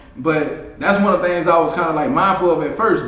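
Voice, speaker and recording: Over noticeable background noise and audible room echo, a man with a high pitch speaks at a moderate pace. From New Orleans and Baton Rouge, Louisiana. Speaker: rapper. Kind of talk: casual interview.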